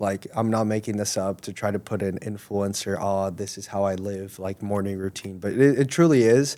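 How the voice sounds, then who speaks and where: A man talks in an ordinary speaking voice at a moderate pace, with a fairly low pitch and ordinary pitch variation. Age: 20s. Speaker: young bodybuilder and online coach. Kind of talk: casual chat.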